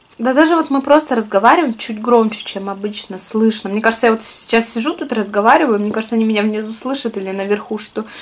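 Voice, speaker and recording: With ordinary pitch variation, a woman talks fairly quickly. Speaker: food vlogger. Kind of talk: casual vlog chat while eating. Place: home room. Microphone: camera far.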